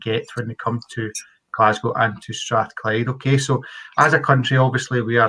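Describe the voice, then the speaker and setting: A man speaks with a Scottish accent in a bright, sharp, medium-pitched voice. His intonation stays fairly even at a moderate pace. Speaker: university engineering faculty representative. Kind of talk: webinar presentation. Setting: online webinar.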